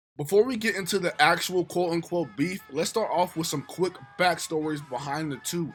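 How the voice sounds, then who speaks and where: Fairly quick speech over music in the background. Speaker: hip-hop history YouTuber. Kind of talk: scripted narration. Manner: slightly slurred.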